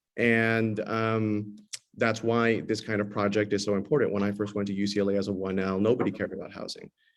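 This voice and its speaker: Speaking in a monotone, flat way with a Californian accent, a man with a fairly low pitch talks at a fairly quick pace amid audible room echo. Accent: Californian American English. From Los Angeles, US West Coast. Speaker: tenant lawyer, panelist. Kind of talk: panel discussion. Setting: video call from a courthouse. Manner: hesitant, many fillers and repeats.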